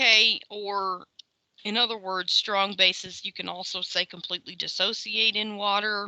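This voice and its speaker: This woman's tone is bright and sharp, her delivery monotone and flat. The sound is dry and close, with no echo. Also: medium pitch for a woman. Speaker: chemistry lecturer. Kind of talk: lecture. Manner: fast; casual, filler-heavy.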